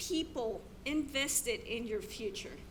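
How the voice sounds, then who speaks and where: In a room with audible echo, a woman uses a raised, projected voice with a bright, sharp tone and lively intonation. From abroad, immigrated to US. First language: not English. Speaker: teacher. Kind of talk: keynote speech.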